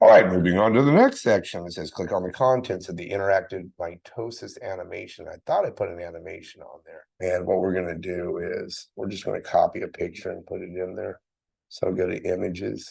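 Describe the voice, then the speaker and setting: The speaker moves at a fairly quick pace with big swings in loudness against a quiet background. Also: man. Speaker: science teacher. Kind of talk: tutorial. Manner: fast; casual.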